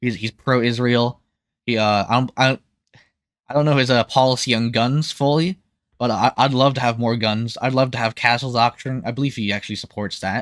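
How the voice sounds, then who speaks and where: Speaking at a fairly quick pace, a man uses a medium pitch and fairly even intonation. The recording is very clean with a silent background and a dry, close sound with no echo. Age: young. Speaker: political commentator. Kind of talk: casual political monologue. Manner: halting.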